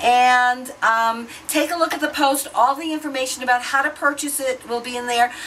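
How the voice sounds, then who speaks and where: A high-pitched woman with lively intonation at a moderate pace, over noticeable background noise. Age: 60s. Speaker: beauty vlogger. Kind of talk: product demo tutorial. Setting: hotel room. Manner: casual, hesitant with fillers.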